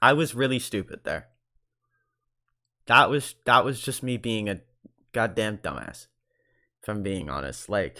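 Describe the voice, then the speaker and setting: With vocal fry and a bright, sharp tone, a man at medium pitch talks fairly slowly with lively intonation and long, frequent pauses. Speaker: online content creator responding to a video. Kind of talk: video reaction commentary. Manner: halting, stuttering.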